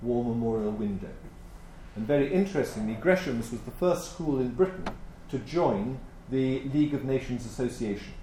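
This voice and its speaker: Using an RP accent, a man speaks at a moderate pace and fairly high pitch with ordinary pitch variation. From England, Birmingham. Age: 60s. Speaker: historian. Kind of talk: conference lecture. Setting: stage with audience.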